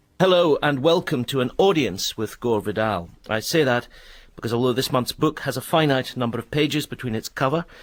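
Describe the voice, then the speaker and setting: A man with an unremarkable speaking voice talks at a fairly quick pace and medium pitch with lively intonation, in a very clean recording with a silent background. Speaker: radio presenter. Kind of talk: radio programme introduction.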